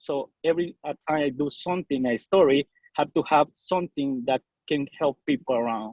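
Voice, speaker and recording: In a Salvadoran accent, a man speaks at a moderate pace with a fairly high pitch. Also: ordinary pitch variation. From El Salvador. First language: Spanish. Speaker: bilingual TV news reporter. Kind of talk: casual interview. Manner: halting.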